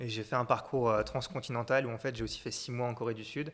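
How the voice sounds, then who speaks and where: This man talks at a very fast pace in a medium pitch. His intonation stays fairly even. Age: 20s. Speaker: entrepreneur, content creator. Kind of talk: interview.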